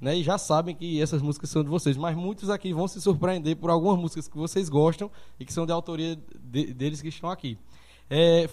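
A man with a Paraíba accent, high in pitch with a dark, mellow tone, very fast and with ordinary pitch variation. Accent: Northeastern Brazilian (Paraíba). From Sumé, Paraíba, Brazil. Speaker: podcast host. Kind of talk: casual chat, live-streamed podcast interview. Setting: live stream, studio.

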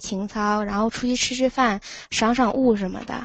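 In a plain, everyday voice, a woman talks at a moderate pace, her pitch fairly high and her intonation fairly even. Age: 20s. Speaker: university student. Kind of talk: casual chat. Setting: call-in from dorm room.

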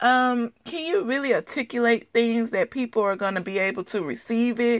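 Recorded very cleanly against a silent background, with a dry, close sound and no echo, a woman with an unremarkable speaking voice talks at a moderate pace in a fairly high pitch and with lively intonation. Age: 30s. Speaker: podcast host. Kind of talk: solo motivational talk.

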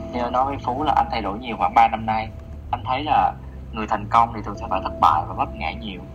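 Music plays in the background. Over it, a man talks at a very fast pace. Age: 30s. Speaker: office worker, podcast guest. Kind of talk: casual chat.

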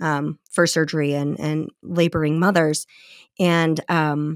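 On a very clean recording with a silent background and a dry, close sound with no echo, a woman with an American accent speaks at a very deep, low pitch in a monotone, flat intonation. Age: 40s. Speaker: author. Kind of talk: interview.

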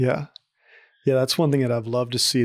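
In a Southern US accent, a man speaks at a medium pitch with fairly even intonation, the sound dry and close with no echo. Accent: Southern American. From Arkansas, US South. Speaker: university student. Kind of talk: interview. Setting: office.

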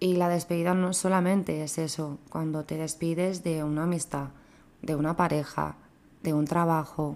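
A fairly low-pitched woman at a moderate pace, with monotone, flat intonation. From Spain. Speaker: bereaved daughter sharing her story. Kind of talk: personal testimony in casual chat.

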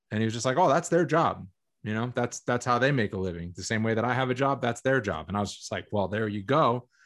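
Against a quiet background, a medium-pitched man with an American accent speaks at a very fast pace with lively intonation. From Massachusetts, Boston area. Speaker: MMA commentator and podcast host. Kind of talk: casual interview chat.

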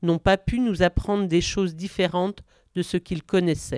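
In a very clean recording with a silent background and a dry, close sound with no echo, a woman speaks in a normal speaking voice, her pitch fairly low with ordinary variation. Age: 50s. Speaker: psychiatric nurse. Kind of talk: personal testimony. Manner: reading a prepared text.

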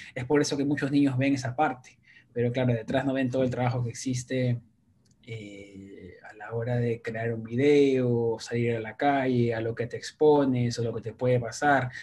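A man at medium pitch talks at a moderate pace in monotone, flat intonation. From Peru, Lima. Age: 30s. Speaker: YouTuber. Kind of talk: interview.

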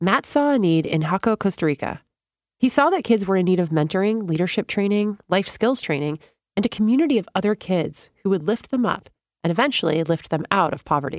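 An unremarkable speaking voice moves at a fairly quick pace with lively intonation. The sound is dry and close, with no echo. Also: woman, medium pitch for a woman. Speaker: podcast narrator. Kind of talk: scripted narration. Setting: studio.

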